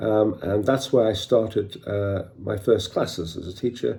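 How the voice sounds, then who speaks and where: Somewhat breathy, a man talks at a moderate pace with fairly even intonation. His voice is fairly low in pitch, with a dark, mellow tone. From northeast England, County Durham. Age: 60s. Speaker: martial arts teacher. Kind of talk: personal storytelling. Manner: hesitant fillers.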